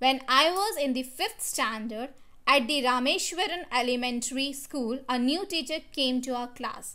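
Raised and projected, a woman's high-pitched voice has a bright, sharp tone and lively intonation, moving at a fairly slow pace amid audible room echo. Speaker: school teacher. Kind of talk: lecture. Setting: recorded online class video.

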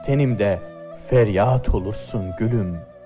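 Music plays in the background as a man with a fairly low pitch speaks very slowly. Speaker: poetry reader. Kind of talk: poetry reading.

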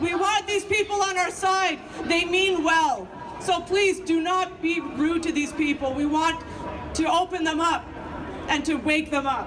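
Fairly slow delivery over noticeable background noise. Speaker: candidate. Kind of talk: rally speech. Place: street. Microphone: pa.

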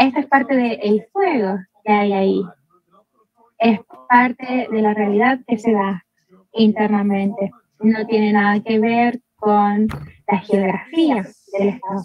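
A woman's fairly high, somewhat breathy voice at a very slow pace, with long, frequent pauses, fairly even intonation, light background noise and a dry sound with no echo. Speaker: academic presenter; presenter. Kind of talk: conference presentation. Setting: video call. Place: home room. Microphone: video call.

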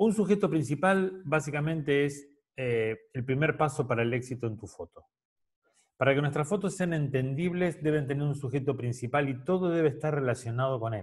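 Against a quiet background, a man's voice comes through somewhat breathy. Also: ordinary pitch variation, moderate pace. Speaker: photography teacher. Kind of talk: lecture. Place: home room. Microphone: webcam.

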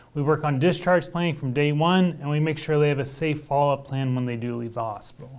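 With an American accent, a man talks at a fairly quick pace with ordinary pitch variation, faint music playing in the background. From Oklahoma, small town. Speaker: hospital physician. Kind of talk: interview. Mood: calm, earnest. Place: studio. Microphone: lapel.

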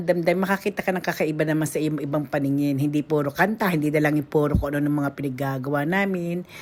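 A woman with a very deep, low pitch speaks in an animated tone. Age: middle-aged. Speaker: vlogger. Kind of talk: casual vlog narration. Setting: outdoors.

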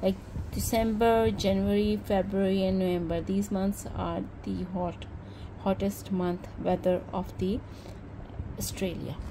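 Against noticeable background noise, a woman talks with long, frequent pauses. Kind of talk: casual haul vlog chat. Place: home room.

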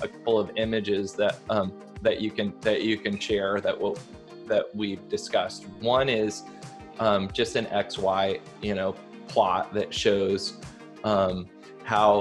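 A man talking at a very slow pace, with clear music playing behind him. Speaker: remote interview guest. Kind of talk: interview answer. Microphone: video call.

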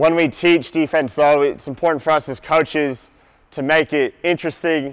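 Over a quiet background, the voice moves at a moderate pace with fairly even intonation. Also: man. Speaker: basketball coach presenter. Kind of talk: lecture. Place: hall.

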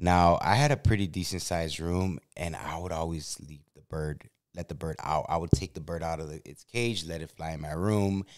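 In a quiet background, a man with an American accent speaks in a very deep, low pitch. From Chicago. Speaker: YouTube podcast host. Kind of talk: casual chat; casual storytelling conversation. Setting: in a car. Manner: animated. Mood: animated, humorous storytelling. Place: studio. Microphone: studio mic.

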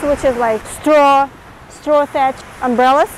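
The intonation stays fairly even. The sound is dry with no echo, over light background noise. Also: woman. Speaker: travel vlogger. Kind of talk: casual travel vlog commentary. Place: beach. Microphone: lapel.

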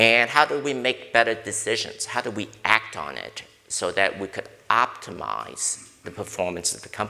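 Delivered at a moderate pace, the speech has ordinary pitch variation and big swings in loudness. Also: man. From US Northeast (Brooklyn, New York). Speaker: corporate board director and risk consultant. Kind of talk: panel discussion. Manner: direct. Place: hall. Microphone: lapel.

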